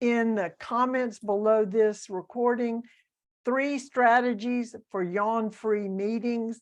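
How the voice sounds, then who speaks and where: Over a quiet background, a woman with a Southern US accent speaks at a very slow pace in a fairly high pitch. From US South. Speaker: author and speaker. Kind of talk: interview.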